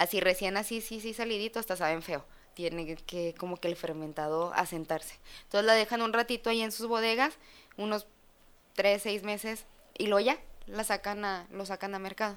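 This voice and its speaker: An ordinary speaking voice moves at a moderate pace with ordinary pitch variation. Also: woman, medium pitch for a woman. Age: 20s. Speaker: chef and sommelier. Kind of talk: casual chat.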